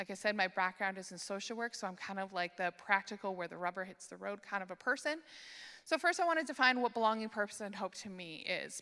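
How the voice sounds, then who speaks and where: A woman's bright, sharp voice at medium pitch, fairly quick, with a Canadian accent. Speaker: conference speaker on church care ministry. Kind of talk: conference talk.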